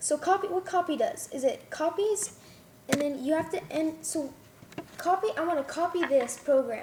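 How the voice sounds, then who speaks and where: At a moderate pace, a woman speaks with an extremely high pitch over noticeable background noise. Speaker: coding tutorial maker. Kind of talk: tutorial. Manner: halting.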